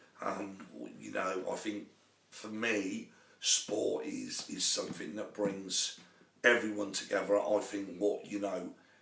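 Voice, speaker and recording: A man's voice comes with audible room echo. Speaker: sports coach. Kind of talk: live talk show monologue. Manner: halting, many fillers.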